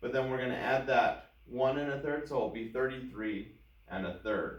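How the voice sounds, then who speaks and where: In a room with audible echo, a man of medium pitch speaks at a moderate pace in a somewhat breathy voice with ordinary pitch variation. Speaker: math teacher. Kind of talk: tutorial.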